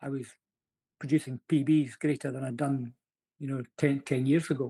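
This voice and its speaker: A man with a Scottish accent speaks at a moderate pace in a fairly high, somewhat breathy voice with a dark, mellow tone and monotone, flat intonation. The recording is very clean with a silent background and a dry, close sound with no echo. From Scotland. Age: 60s. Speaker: amateur fitness racer. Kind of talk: podcast interview answer.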